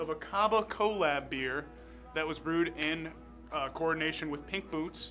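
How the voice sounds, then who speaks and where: Music plays in the background as a man speaks at a moderate pace in a fairly high pitch. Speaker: beer festival organizer and fundraiser host. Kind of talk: live stream event host talk to camera.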